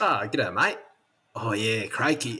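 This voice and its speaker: A raspy put-on character voice from a man at medium pitch. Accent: Australian. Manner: playful, mocking.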